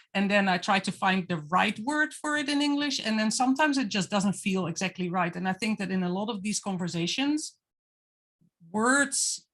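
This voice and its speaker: A woman at a medium pitch with a non-native accent, lively intonation and a moderate pace. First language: not English. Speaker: guest artist on panel. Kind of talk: casual chat. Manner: halting.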